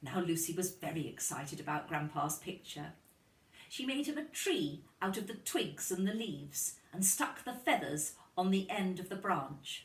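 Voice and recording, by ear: In a room with audible echo, a woman with a fairly low pitch speaks at a fairly slow pace with big pitch swings.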